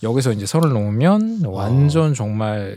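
A man with a medium-pitched voice swings his pitch very widely, recorded with a dry, close sound and no echo. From Gangseo-gu, Seoul. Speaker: film podcast guest. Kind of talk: casual chat.

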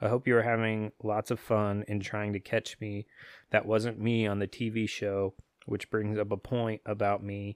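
A man's fairly low, monotone voice with flat intonation at a fairly slow pace, in a very clean recording with a silent background and a dry, close sound with no echo. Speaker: podcast host. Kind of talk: casual chat. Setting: home recording setup with two mics. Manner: casual, profane.

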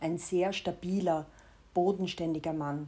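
Speaking at a fairly slow pace, a woman keeps a fairly low pitch and fairly even intonation. Her tone is dark and mellow. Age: 40s. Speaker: personal diarist, podcaster. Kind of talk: personal narration, confessional.

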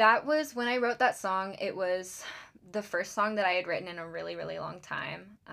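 A woman speaks at a moderate pace in an American accent. Her loudness swings widely. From US South, Charleston, South Carolina. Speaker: singer-songwriter. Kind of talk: casual chat. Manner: hesitant, many fillers.

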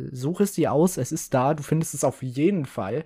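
The recording is very clean, with nothing heard in the background. The delivery moves at a moderate pace. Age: 20s. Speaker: podcast host. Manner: animated; excitable.

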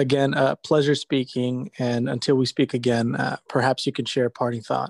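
A man with an unremarkable speaking voice talks at medium pitch and a moderate pace. His intonation is fairly even, and the sound is dry and close with no echo. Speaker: podcast host. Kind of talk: interview.

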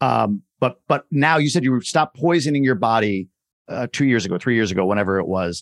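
With an unremarkable speaking voice, a man at medium pitch talks at a fairly quick pace using lively intonation. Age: 40s. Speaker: podcast host. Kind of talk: podcast interview.

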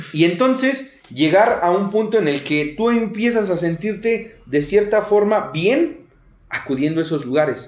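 Speaking at a fairly slow pace, a man with a high pitch makes very wide pitch swings. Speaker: podcast host, recovering addict. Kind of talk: casual interview.

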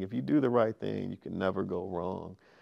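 Against a quiet background, a man with an American accent uses a normal speaking voice at a moderate pace with ordinary pitch variation. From California (Sacramento). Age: 40s. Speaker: healthcare executive and author. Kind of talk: interview.

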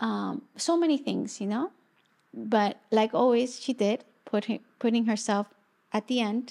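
The tone is dark and mellow, and the pace is moderate, broken by long, frequent pauses. The recording is very clean, with a silent background. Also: woman, fairly high pitch for a woman, ordinary pitch variation. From Chile. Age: 40s. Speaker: shamanic teacher. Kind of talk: casual chat.

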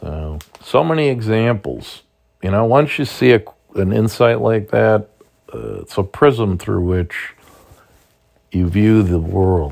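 A man with a fairly low pitch speaks at a very slow pace, with long, frequent pauses, lively intonation, and big swings in loudness. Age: 60s. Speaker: podcast host, political commentator. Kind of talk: solo commentary monologue. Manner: casual, hesitant with frequent fillers.

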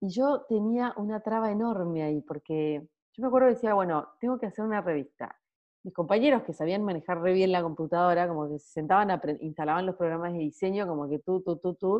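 A woman with a normal speaking voice talks in a medium pitch at a fairly quick pace. Her intonation is lively, and her loudness swings widely. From Argentina, Salta (rural). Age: 30s. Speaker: graphic designer and watercolour artist. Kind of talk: casual interview chat.

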